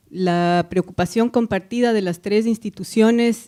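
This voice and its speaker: With an Ecuadorian accent, a woman speaks in a dark, mellow tone on a very clean recording with a silent background. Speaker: foundation director. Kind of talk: panel discussion.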